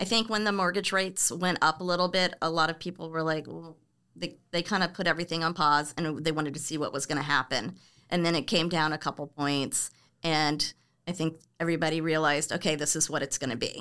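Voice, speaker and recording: With an American accent, a woman talks very fast in a fairly low, bright and sharp voice with fairly even intonation. The recording is very clean, with a silent background. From US South, Florida, Orlando. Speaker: real estate agent. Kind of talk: casual interview. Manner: halting.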